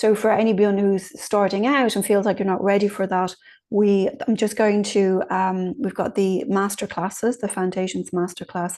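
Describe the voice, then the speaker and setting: A woman speaks at a medium pitch with an Irish accent, her intonation fairly even. Her tone is dark and mellow against a quiet background. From Ireland. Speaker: mediumship teacher. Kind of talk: online class talk. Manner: fast.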